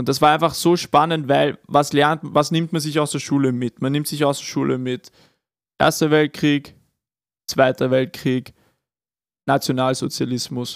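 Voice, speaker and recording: With a fairly high pitch and fairly even intonation, this man talks at a fairly slow pace, leaving long, frequent pauses, in a very clean recording with a silent background and a dry, close sound with no echo. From Upper Austria (Kremsmünster). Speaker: podcast co-host. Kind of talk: casual chat.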